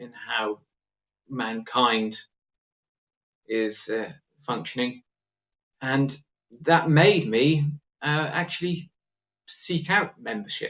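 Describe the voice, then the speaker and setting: A man with an English accent, fairly high pitch and lively intonation, at a very slow pace with long, frequent pauses. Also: big swings in loudness. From England, Norwich. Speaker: author. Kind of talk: interview.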